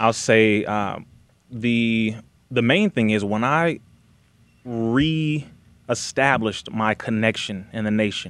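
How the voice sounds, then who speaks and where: A man at medium pitch talks at a very slow pace, with long, frequent pauses and ordinary pitch variation. The recording is very clean, with a silent background. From Compton, California. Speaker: activist and Nation of Islam representative. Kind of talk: interview conversation.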